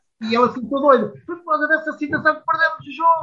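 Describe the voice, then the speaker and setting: A man talks at a fairly quick pace in a raised, projected voice. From Portugal, Coimbra. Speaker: former footballer. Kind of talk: casual interview.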